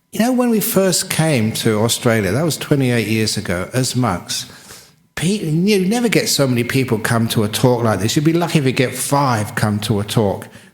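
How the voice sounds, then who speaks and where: A moderate pace, very wide pitch swings and audible room echo. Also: man. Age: 60s. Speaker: Buddhist monk. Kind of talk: dharma talk.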